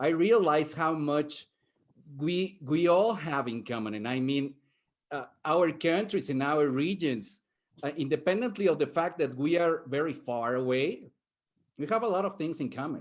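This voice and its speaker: A man with a Spanish accent and a fairly high pitch, lively intonation and a moderate pace, over a quiet background. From Mexico. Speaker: professor, futurist panelist. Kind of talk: panel discussion.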